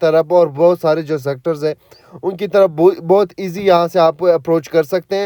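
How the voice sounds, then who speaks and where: The man's high-pitched voice moves at a moderate pace. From Pakistan, Gujrat area. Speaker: real estate agent / property vlogger. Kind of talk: property tour. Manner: casual, halting with fillers.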